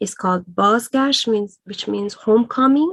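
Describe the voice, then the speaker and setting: A woman is speaking. She talks with a Persian accent. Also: dry, close sound with no echo. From Iran. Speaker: writer. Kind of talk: interview. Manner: hesitant, many fillers.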